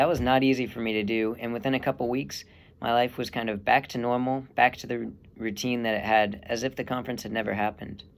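The man's speech is very fast. Intonation remains fairly even. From Texas. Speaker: seminarian; young man discerning priesthood. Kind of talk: testimony. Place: home room. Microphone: earbuds.

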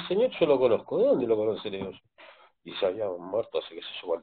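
A man talks very fast, with light background noise behind him. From Argentina, Buenos Aires province (San Martín); Buenos Aires province, Argentina. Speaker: adult with ADHD, parent. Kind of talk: interview. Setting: video call. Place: home room. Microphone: video call.

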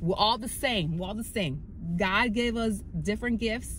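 The moderate pace belongs to a woman. There is light background noise, and the sound is dry with no echo. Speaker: fitness vlogger. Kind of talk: casual vlog chat. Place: car.

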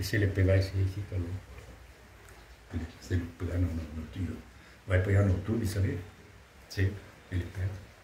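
A man with a very deep, low voice speaks with long, frequent pauses. Audible room echo and light background noise are present. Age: 80s+. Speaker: retired truck driver and hammer collector. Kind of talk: casual chat. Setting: at his home. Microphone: phone near.

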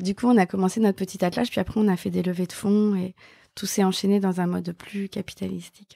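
Dark and mellow in tone, the voice runs at a very fast pace with fairly even intonation, captured in a very clean recording with a silent background and a dry, close sound with no echo. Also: woman, medium pitch for a woman. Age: 50s. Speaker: journalist and live event founder. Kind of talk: interview.

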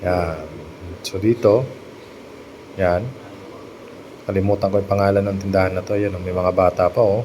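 With noticeable background noise behind him, a man speaks at a moderate pace and fairly low pitch, his intonation monotone and flat, with long, frequent pauses. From Philippines, Masbate. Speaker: vlogger. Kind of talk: screen-share video tour narration. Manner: casual, hesitant with fillers.

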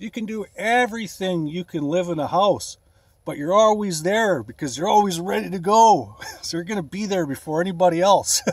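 Spoken at a moderate pace with a western Canadian accent, the voice shows ordinary pitch variation in a dry recording with no echo. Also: man, high pitch for a man. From Canada, Alberta. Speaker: bodybuilding vlogger; van life fitness vlogger. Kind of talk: casual vlog; casual vlog chat. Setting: in a van. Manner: casual, filler-heavy. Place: car. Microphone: phone near.

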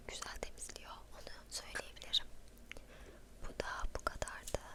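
There is noticeable background noise. Over it, a woman whispers. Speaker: ASMR creator. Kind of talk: ASMR show and tell. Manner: soft-spoken, whispering.

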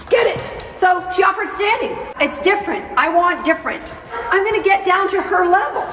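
Over clear music in the background, a woman with an extremely high pitch speaks at a fairly quick pace with ordinary pitch variation. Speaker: dog trainer. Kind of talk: tutorial. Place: hall.

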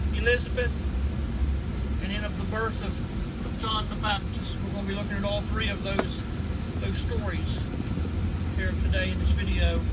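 Loud background noise accompanies a man talking at a moderate pace. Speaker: preacher. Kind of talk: sermon-style Bible teaching to camera. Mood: earnest, fervent praise. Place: car. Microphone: phone near.

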